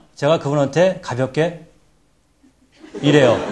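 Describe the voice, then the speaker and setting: A man's voice with audible room echo. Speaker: presentation skills lecturer. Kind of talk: lecture.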